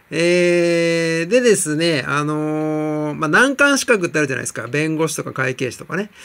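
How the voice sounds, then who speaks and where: With a fairly high pitch and ordinary pitch variation, a man talks at a moderate tempo on a very clean recording with a silent background. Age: 40s. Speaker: TOEIC coach. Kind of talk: vlog monologue. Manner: hesitant, many fillers.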